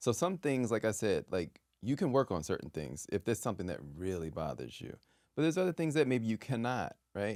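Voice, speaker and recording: A man mumbles at a fairly quick pace in a medium pitch, with vocal fry and very wide pitch swings. The recording is very clean with a silent background and a dry, close sound with no echo. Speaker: actor. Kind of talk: casual chat. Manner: mumbling.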